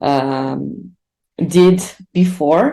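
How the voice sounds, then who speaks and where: A woman's dark, mellow tone with a Brazilian accent. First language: Portuguese. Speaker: R instructor and conference speaker. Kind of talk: online conference talk. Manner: hesitant, many fillers.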